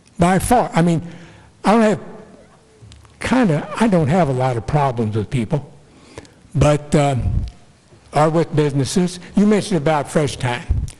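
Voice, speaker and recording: Amid noticeable background noise, a man speaks at a fairly high pitch and moderate pace with lively intonation and long, frequent pauses. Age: 80s+. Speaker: retired FBI agent speaking at public comment. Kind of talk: public comment at a township meeting. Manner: halting.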